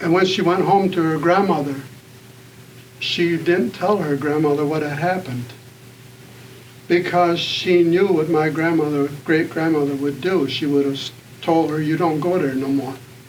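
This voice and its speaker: Over noticeable background noise and audible room echo, a man with a fairly high pitch speaks with fairly even intonation and long, frequent pauses. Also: moderate pace. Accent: American. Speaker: author and activist. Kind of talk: panel talk. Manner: halting.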